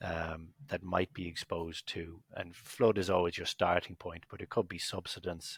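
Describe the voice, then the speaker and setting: A man with an Irish accent speaks in a very deep, low pitch with monotone, flat intonation, big swings in loudness and hardly any pauses, in a dry, close sound with no echo. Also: moderate pace. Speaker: business executive. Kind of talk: podcast interview.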